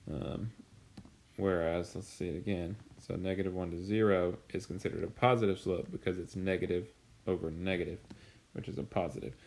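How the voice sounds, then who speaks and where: A man's very deep, low voice at a fairly quick pace, with ordinary pitch variation and long, frequent pauses. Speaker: high school math teacher. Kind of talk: recorded lecture. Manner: filler-heavy, with frequent um and uh.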